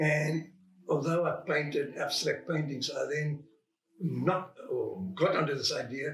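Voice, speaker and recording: A man talks at a moderate pace with a fairly high pitch. Music plays behind him. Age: 80s+. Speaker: painter. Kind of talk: interview. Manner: halting.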